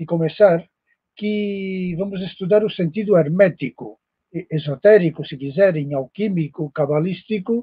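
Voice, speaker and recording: A man with a Spanish accent speaks at a fairly slow pace in a high pitch. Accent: Spanish-accented Portuguese (portunhol). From Spain. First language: Spanish (speaking Portuguese). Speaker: professor, esoteric lecturer. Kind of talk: lecture. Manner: halting, many fillers.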